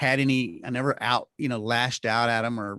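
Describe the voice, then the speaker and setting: A man talks at a moderate pace, his medium-pitched voice bright and sharp with ordinary pitch variation. The sound is dry and close with no echo, over a quiet background. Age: 50s. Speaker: health care and media executive. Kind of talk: casual interview chat. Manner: halting with many repetitions.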